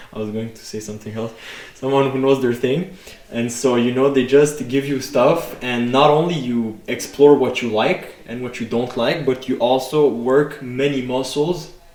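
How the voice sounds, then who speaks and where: Over noticeable background noise, a man's fairly even intonation comes with big swings in loudness. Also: medium pitch for a man, moderate pace. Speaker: fitness podcast co-host. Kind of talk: casual podcast chat. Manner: hesitant, many fillers.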